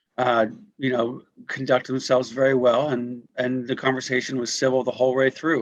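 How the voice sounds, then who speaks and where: Monotone, flat intonation marks a man's fairly quick speech. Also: medium pitch for a man. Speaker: Rotary district governor. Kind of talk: meeting remarks. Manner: halting.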